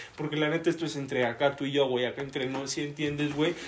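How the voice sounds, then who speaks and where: Over noticeable background noise, a man talks at a very fast pace with a fairly high pitch. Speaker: podcast guest. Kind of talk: casual chat.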